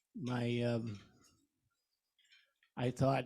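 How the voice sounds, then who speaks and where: Somewhat breathy, a man's voice sits at medium pitch with a dark, mellow tone. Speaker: visiting club member, retired teacher. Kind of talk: informal self-introduction. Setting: lunch meeting in a room with audience.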